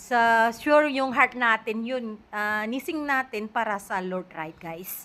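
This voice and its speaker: On a very clean recording with a silent background, a woman speaks at a very slow pace with hardly any pauses, her fairly high voice showing ordinary pitch variation and big swings in loudness. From Indonesia. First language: Indonesian (speaking Tagalog). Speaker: vlogger. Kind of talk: casual vlog chat. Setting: at home.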